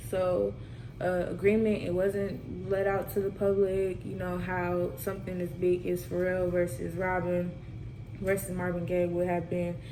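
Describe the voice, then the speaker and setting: In a room with audible echo, a woman speaks at a fairly slow pace with monotone, flat intonation. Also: fairly low pitch for a woman. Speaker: student presenter. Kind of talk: class presentation.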